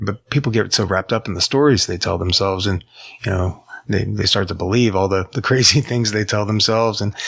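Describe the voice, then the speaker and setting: A man with an unremarkable speaking voice talks at a fairly quick pace and fairly low pitch, with ordinary pitch variation. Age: 40s. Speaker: podcast host. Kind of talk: podcast interview.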